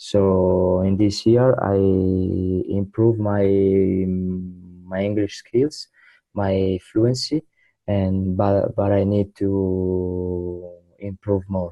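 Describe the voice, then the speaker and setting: A man's very deep, low voice, flat and monotone, at a very slow pace over background music. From southern Italy, Trani. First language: Italian. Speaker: English student, young professional. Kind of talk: interview. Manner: halting.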